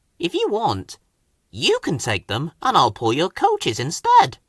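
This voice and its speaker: Using a put-on character voice, a man speaks at a moderate pace and a high pitch. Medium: read story. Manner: kind, gentle.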